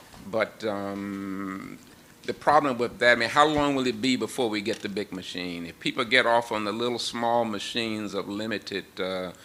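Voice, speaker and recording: Over noticeable background noise, a man talks with fairly low pitch and ordinary pitch variation. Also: moderate pace. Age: 70s. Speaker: scientist. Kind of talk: panel discussion.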